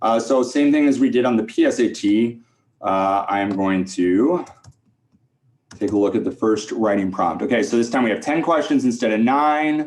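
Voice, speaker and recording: A man's plain, everyday voice at a medium pitch, moderate in pace, with ordinary pitch variation. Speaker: test prep teacher. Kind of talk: tutorial think-aloud. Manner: casual, filler-heavy.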